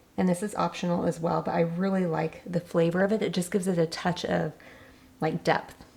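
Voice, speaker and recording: With fairly even intonation and a fairly low pitch, a woman talks at a moderate speed as noticeable background noise plays behind her. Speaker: cooking channel host. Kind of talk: cooking tutorial. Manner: casual.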